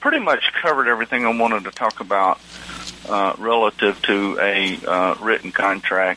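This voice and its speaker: A man's relaxed, fairly slow speech with noticeable background noise. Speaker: attorney and land surveyor, radio host. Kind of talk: educational radio talk show monologue. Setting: radio studio broadcast. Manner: relaxed, hesitant, filler-heavy.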